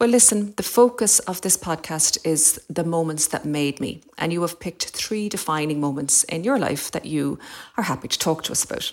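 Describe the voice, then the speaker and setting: With an Irish accent, a woman speaks at a moderate pace in a fairly low voice with lively intonation. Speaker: podcast host. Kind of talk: interview.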